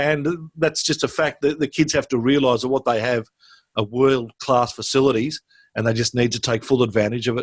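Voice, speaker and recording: With an Australian accent, a man speaks at a medium pitch and a fairly quick pace with fairly even intonation. The sound is dry and close with no echo, on a very clean recording with a silent background. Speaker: school sports director. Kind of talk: interview.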